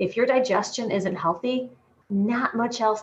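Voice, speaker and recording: Pacing her words moderately, a woman uses a normal speaking voice with ordinary pitch variation. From Michigan. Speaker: dietitian and health coach. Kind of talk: casual interview.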